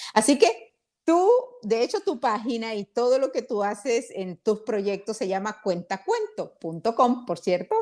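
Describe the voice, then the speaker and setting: Speaking at a fairly slow pace, a woman sounds animated, with a fairly high pitch and lively intonation. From Honduras. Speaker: interview host. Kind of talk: interview.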